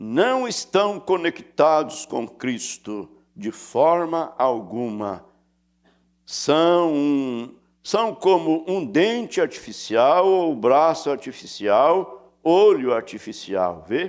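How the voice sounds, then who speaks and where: Pitch swings very widely throughout. The delivery is very slow. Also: man, fairly high pitch for a man. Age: 80s+. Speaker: pastor. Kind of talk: sermon.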